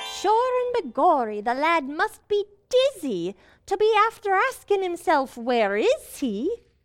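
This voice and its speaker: Using a put-on character voice at an extremely high pitch, the speaker moves at a fairly slow pace through very wide pitch swings. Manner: chatty, wry.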